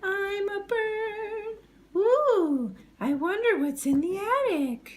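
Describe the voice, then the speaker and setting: A woman's cartoonish character voice, extremely high in pitch and very slow. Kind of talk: puppet show. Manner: playful, jokey.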